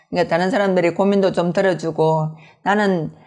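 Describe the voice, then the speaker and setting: A woman talks in a strong Gyeongsang accent at a medium pitch. She keeps a moderate pace against a quiet background. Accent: Gyeongsang dialect, strong intonation. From Gyeongsang, South Korea. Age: 60s. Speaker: network marketing business leader. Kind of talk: interview. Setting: video interview.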